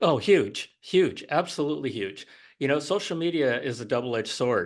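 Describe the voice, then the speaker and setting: Over a quiet background, a man with an ordinary speaking voice and fairly high pitch talks at a moderate pace. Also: lively intonation. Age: 60s. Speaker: retired author, book guest. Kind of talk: podcast interview.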